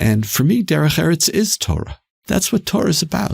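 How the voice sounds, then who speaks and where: A man with a Canadian accent speaks fairly quickly in a somewhat breathy voice with very wide pitch swings, the sound dry and close with no echo. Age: 60s. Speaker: institute president. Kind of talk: podcast interview. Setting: studio.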